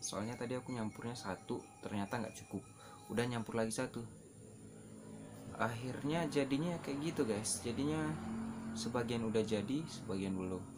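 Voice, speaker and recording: With music behind him, a man speaks fairly quickly at a medium pitch, his pitch varying in an ordinary way. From Sulawesi, Indonesia. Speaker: vlogger, hair colorist and tour guide. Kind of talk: casual tutorial vlog. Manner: casual, mixes in English filler words.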